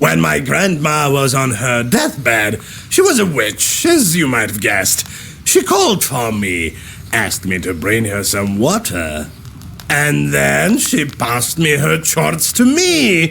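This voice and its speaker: A man puts on a character voice at a medium pitch. He goes at a fairly slow pace against clear background noise. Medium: video game. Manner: mocking, boastful.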